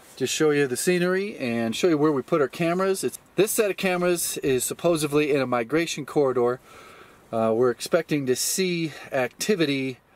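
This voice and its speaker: The pace is fairly quick, with ordinary pitch variation. The sound is dry with no echo. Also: man. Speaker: vlogger. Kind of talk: casual vlog chat. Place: open country.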